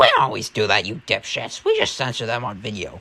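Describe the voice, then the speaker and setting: A man puts on a rumbling character voice at medium pitch, racing along at a very fast pace. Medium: read story. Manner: snappish, grumbling.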